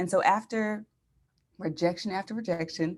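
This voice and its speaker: An unremarkable speaking voice moves at a fairly quick pace with lively intonation. The recording is very clean, with a silent background. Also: woman. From Philadelphia area, partly raised in San Diego. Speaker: podcaster and brand strategist. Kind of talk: interview.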